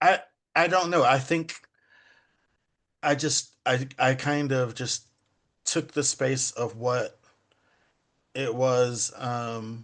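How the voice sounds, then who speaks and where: Over a quiet background, a man with an American accent speaks very slowly at medium pitch, with fairly even intonation and long, frequent pauses. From England, London, then US from age ten. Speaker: poet. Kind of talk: interview. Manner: halting, many fillers and repeats.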